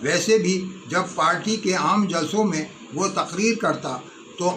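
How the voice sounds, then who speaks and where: Noticeable background noise surrounds a man's voice. He speaks at a high pitch with ordinary variation. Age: 80s+. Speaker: political activist and Urdu poet. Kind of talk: spoken remembrance.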